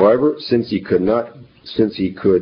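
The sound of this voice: An unforced reading voice. Its intonation stays lively.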